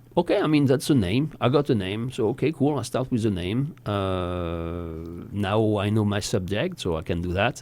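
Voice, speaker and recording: Lively intonation at a moderate pace, with a French accent. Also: man. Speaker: voice actor. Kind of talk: casual chat.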